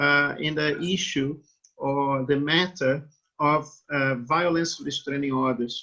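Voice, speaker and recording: A man with a Brazilian accent, fairly high in pitch, bright and sharp in tone, with fairly even intonation at a very slow pace. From Brazil, Rio de Janeiro. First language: Portuguese. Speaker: law professor. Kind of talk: interview.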